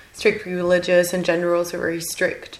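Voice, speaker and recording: Against noticeable background noise, a woman rattles along at a very fast pace in a medium pitch. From Germany. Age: 20s. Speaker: podcast guest, master's student and journalist. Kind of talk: casual chat interview.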